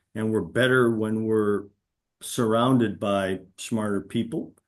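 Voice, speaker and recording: Against a quiet background, a man with a medium pitch talks at a fairly slow pace in an ordinary speaking voice. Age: 60s. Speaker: senior executive. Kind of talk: panel discussion webinar.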